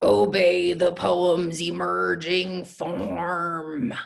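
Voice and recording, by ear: In a put-on character voice, the speaker sounds gruff at a middle pitch and moves at a very slow pace.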